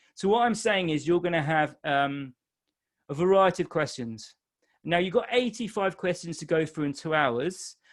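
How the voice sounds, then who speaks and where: A man with a high pitch for a man talks with lively intonation. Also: moderate pace. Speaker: exam tutor. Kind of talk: webinar Q&A. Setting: live webinar. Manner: casual, with fillers.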